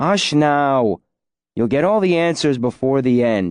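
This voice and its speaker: A man's put-on character voice, rumbling, at a medium pitch and fairly slow pace, with lively intonation, very even loudness, and a dry, close sound with no echo over a quiet background. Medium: read story. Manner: grumbling.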